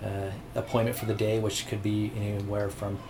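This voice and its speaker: A man speaks at a fairly low pitch in a flat monotone, with noticeable background noise and audible room echo. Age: 40s. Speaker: real estate agent. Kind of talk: interview.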